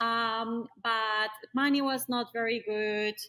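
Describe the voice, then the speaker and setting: A woman with a Colombian accent speaks in a high pitch. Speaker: tradeswoman, caulker. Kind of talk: podcast interview.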